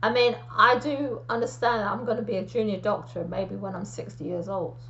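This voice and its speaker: Over audible room echo, a woman with a medium pitch talks fairly quickly, her pitch swinging very widely. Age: 50s. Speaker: aspiring medical student. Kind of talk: solo talk to camera.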